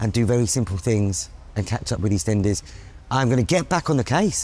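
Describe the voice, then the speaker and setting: This man has a plain, everyday voice, speaking at a moderate pace with lively intonation. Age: 40s. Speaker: activist and co-host. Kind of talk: casual chat.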